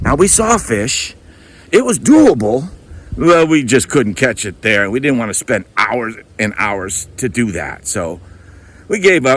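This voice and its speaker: With an American accent, a man speaks at a moderate pace, his pitch swinging very widely. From US Midwest, Milwaukee, Wisconsin. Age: 60s. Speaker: retiree applying for a reality show. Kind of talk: casting video storytelling.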